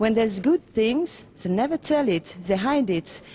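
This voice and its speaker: In a French accent, a woman speaks at a fairly slow pace with a medium pitch. Her tone is dark and mellow, and her intonation is lively. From France. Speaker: documentary filmmaker. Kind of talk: interview. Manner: halting.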